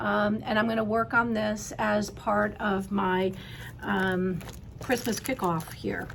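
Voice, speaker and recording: A woman at medium pitch speaks at a very slow pace with ordinary pitch variation. Noticeable background noise and audible room echo are present. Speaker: cross stitch video host. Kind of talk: casual show-and-tell chat. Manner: hesitant, many fillers.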